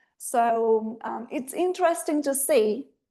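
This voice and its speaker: With a Spanish accent, a woman speaks in a high pitch with lively intonation and a dark, mellow tone. The background is quiet. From Argentina. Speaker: translator and writer. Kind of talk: online presentation. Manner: hesitant, many filler ums.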